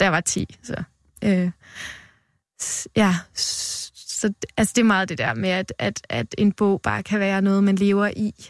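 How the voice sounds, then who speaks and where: A woman talks fairly slowly at a medium pitch, with ordinary pitch variation and long, frequent pauses. The sound is dry and close with no echo, on a very clean recording with a silent background. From Denmark, western Jutland. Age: 20s. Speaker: poet. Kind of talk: poetry reading; interview. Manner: halting.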